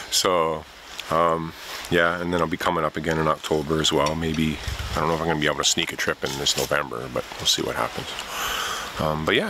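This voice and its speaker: Over noticeable background noise, a man with a very deep, low pitch talks fairly quickly in a monotone, flat delivery with a dry sound with no echo. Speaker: canoe tripper vlogger. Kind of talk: casual vlog chat. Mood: wistful, relaxed. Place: forest. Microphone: phone near.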